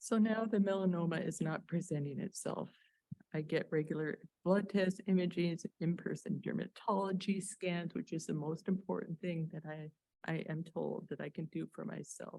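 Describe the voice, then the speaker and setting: A woman speaks at a fairly low pitch in a dark, mellow tone that is somewhat breathy. Her pace is moderate and her intonation fairly even. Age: 60s. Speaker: melanoma patient and former newspaper journalist. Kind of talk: patient testimony, prepared talk.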